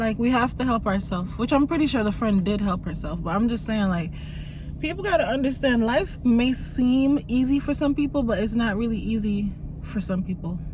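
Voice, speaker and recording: Speaking fairly quickly with a slight Jamaican accent, a woman uses a fairly high pitch and lively intonation, with audible room echo and noticeable background noise. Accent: very slight Jamaican. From Jamaica, moved to US very young. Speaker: YouTuber. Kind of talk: casual vlog chat.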